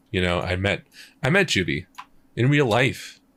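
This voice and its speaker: A man at a fairly slow pace on a very clean recording with a silent background. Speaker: streamer and music producer. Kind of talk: casual livestream chat. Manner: casual, halting with fillers.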